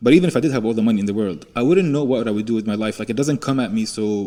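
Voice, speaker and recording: With a dark, mellow tone and lively intonation, a man speaks at a very fast pace. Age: 30s. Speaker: podcast host. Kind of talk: casual conversation.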